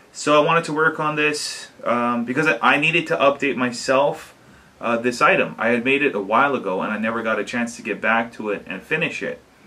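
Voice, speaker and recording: A man's fairly high voice moves at a fairly quick pace, with noticeable background noise present. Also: ordinary pitch variation. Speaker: DIY video maker. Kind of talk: tutorial. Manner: halting.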